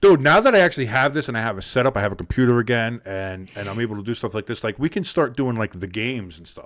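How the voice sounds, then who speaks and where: A man's medium-pitched, very fast speech in a New Jersey accent, with lively intonation and big swings in loudness. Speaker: sports podcast host. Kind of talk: casual chat. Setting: live stream.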